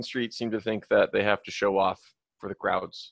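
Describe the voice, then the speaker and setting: A man with an American accent is heard in a dry, close recording with no echo. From Minnesota. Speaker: podcast co-host. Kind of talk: casual chat. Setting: video call.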